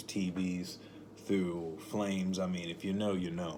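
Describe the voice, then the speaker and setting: A man with a very deep, low voice speaks at a fairly slow pace in a flat monotone, with audible room echo. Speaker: spiritual motivational vlogger. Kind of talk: casual monologue. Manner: rambling, self-correcting.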